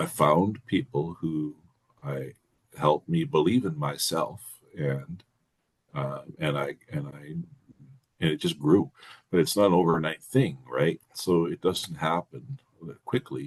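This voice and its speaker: A man with a very deep, low pitch and vocal fry speaks fairly slowly with lively intonation. Long, frequent pauses break up his speech. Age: 60s. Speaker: men's support group member. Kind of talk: casual group discussion. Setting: video call. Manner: halting.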